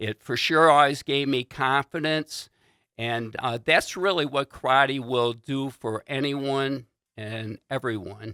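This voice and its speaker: Very slow and bright, sharp in tone, this American-accented voice shows ordinary pitch variation on a very clean, silent-background recording with a dry, close sound and no echo. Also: man, medium pitch for a man. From US Midwest, Warren, Michigan. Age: 60s. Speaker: insurance agent and martial arts instructor. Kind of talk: casual talk to camera. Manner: hesitant, many fillers.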